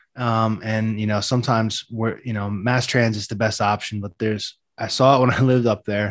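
Someone with an American accent speaks at a fairly quick pace in a monotone, flat intonation against a quiet background. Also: man. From New Jersey, Jersey Shore. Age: 30s. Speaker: writer and poet. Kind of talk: casual interview.

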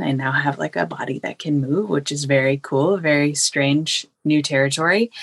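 At a moderate pace, a woman with a very deep, low pitch and ordinary pitch variation speaks in a dry, close sound with no echo. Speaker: course participant. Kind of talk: casual Q&A. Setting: video call.

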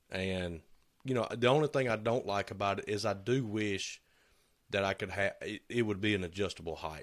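On a very clean recording with a silent background, a man with a Southern US accent speaks at a moderate pace, with a fairly low pitch and ordinary pitch variation. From US South. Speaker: woodworking shop owner, podcast co-host. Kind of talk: casual chat.

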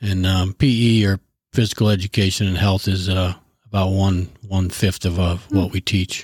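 A man's fairly low voice with a Midwestern US accent, moderate pace and monotone, flat intonation, in a dry, close sound with no echo and a very clean recording with a silent background. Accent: US Midwest. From northern Illinois (Sterling). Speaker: high school JROTC instructor, army veteran. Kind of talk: interview.

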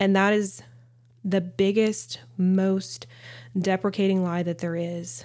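A woman with a Southern US accent at a very slow pace, full of long, frequent pauses. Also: medium pitch for a woman, ordinary pitch variation. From US South. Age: 30s. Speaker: podcast host, mother and nurse practitioner. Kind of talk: casual monologue.

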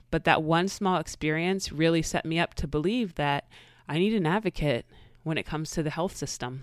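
A woman's plain, everyday voice, fairly low-pitched, with ordinary pitch variation and a fairly quick pace. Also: dry, close sound with no echo, very clean recording, silent background. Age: 30s. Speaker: podcast host and life coach. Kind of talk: casual monologue.

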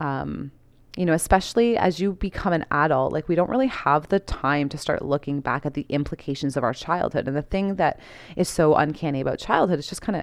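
A woman with a very deep, low pitch, vocal fry and lively intonation, against a quiet background. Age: 30s. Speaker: podcast host, holistic wellness. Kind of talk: casual unscripted monologue. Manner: relaxed, with frequent fillers.

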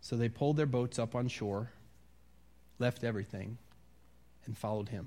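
At a moderate pace, a man with an American accent speaks at a medium pitch with fairly even intonation. He leaves long, frequent pauses. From US Midwest, Wisconsin. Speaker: pastor. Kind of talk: sermon. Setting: church.

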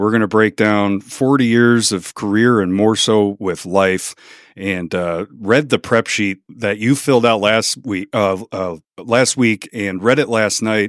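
Recorded very cleanly against a silent background with a dry, close sound and no echo, a man with an American accent and an unremarkable speaking voice talks at a fairly slow pace in a fairly low pitch, using fairly even intonation and hardly any pauses. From Chicago. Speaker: podcast host. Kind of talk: casual interview chat.

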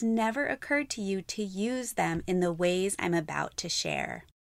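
A woman's plain, everyday voice at a fairly slow pace, with lively intonation, in a very clean recording over a silent background. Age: 30s. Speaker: podcast host, marketing expert. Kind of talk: podcast monologue.

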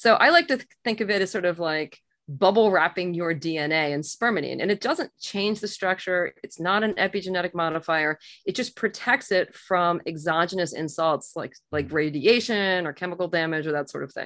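In a plain, everyday voice, a woman with a fairly low pitch speaks at a moderate pace with ordinary pitch variation and hardly any pauses against a quiet background. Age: 50s. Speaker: physician. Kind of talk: interview.

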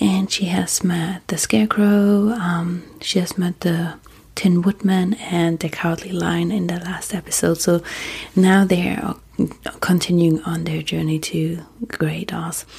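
The voice has a calm tone and moves at a fairly slow pace. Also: woman, fairly low pitch for a woman. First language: German. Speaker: sleep podcast host. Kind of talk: casual monologue; reading aloud.

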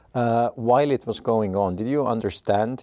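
A man with an Estonian accent, dark and mellow in tone, with ordinary pitch variation, in a dry, close sound with no echo against a quiet background. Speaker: podcast host, interviewer. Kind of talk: interview conversation.

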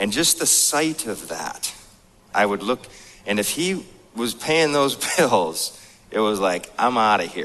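At a medium pitch with very wide pitch swings, a man with an American accent talks at a fairly slow pace with long, frequent pauses. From North Dakota, US. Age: 30s. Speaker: motivational speaker. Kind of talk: seminar talk. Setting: stage with audience.

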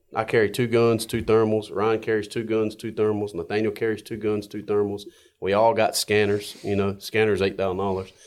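In a North Carolina accent, a man speaks fairly quickly at a fairly low pitch with monotone, flat intonation. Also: very clean recording, silent background. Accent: Southern US (North Carolina). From North Carolina, Johnston County. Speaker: coyote hunter and racer. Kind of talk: casual chat. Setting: studio.

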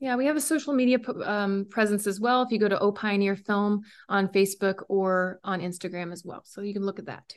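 An unremarkable speaking voice, with ordinary pitch variation and big swings in loudness. It moves at a fairly quick pace with hardly any pauses. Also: woman, medium pitch for a woman. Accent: American. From rural West Virginia, Randolph County. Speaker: documentary filmmaker. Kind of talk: casual interview.

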